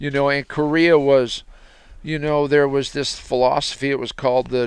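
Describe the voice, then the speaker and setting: A man talks with an American accent in a fairly high pitch. His intonation is monotone and flat, and his pace is moderate. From US West Coast (Santa Cruz, California). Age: 70s. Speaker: retired masonry businessman, host's father. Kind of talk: casual conversation. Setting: recording while on a hunting trip. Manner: halting, many false starts.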